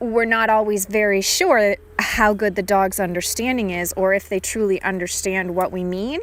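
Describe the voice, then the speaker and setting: A woman speaks with an unremarkable speaking voice at a medium pitch and moderate pace. Her pitch variation is ordinary, and the recording is very clean with a silent background. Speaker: dog trainer. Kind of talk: instructional narration over a training session.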